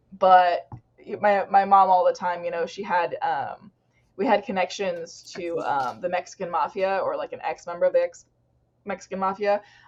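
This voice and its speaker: A woman's plain, everyday voice at a medium pitch, moderate in pace, with fairly even intonation and big swings in loudness. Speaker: podcast co-host. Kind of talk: casual chat.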